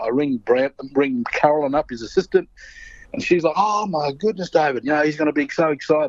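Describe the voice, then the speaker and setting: Noticeable background noise accompanies a man who talks very fast, his pitch moving in an ordinary way. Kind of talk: interview storytelling. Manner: animated.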